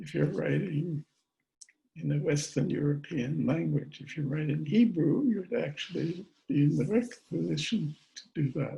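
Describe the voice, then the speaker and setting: With a dark, mellow tone and fairly high pitch, a man talks at a moderate pace using lively intonation, big swings in loudness, and vocal fry. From Austria. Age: 80s+. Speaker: theoretical chemist. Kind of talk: talk at a virtual book event.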